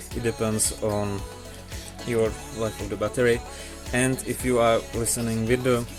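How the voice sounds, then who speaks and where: Music plays behind a man speaking at a fairly slow pace. His pitch is fairly low and his intonation fairly even. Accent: non-native. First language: not English. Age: young. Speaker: tech reviewer. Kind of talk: casual product review to camera.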